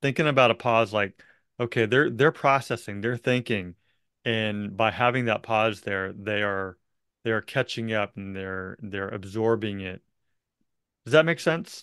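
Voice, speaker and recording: Medium pitch, ordinary pitch variation and a fairly slow pace from a man with an unremarkable speaking voice. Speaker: real estate coach and podcast host. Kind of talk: coaching conversation.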